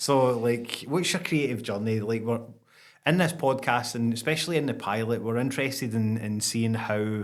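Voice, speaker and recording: A man speaks at a medium pitch with a Scottish accent. His pitch varies in an ordinary way, and the room echo is audible. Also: moderate pace. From Scotland. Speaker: podcast host. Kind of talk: casual interview chat.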